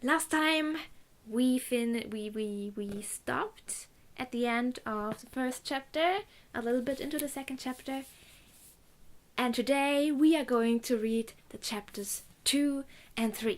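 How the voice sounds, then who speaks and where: Upbeat in a German accent, the speaker shows ordinary pitch variation, big swings in loudness, and long, frequent pauses. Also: woman, high pitch for a woman. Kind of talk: casual Bible reading and commentary to camera.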